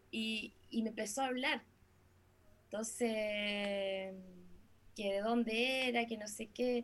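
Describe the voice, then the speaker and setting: A woman with a Chilean accent speaks very slowly in a fairly high, monotone, flat voice. Long pauses come often. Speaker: singer, musician. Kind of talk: casual chat.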